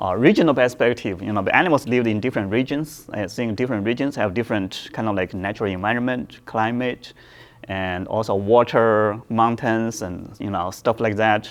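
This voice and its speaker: A man with a Chinese accent, medium pitch, ordinary pitch variation and a moderate pace. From China. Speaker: professor. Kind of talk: lecture. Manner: halting, many fillers and repetitions.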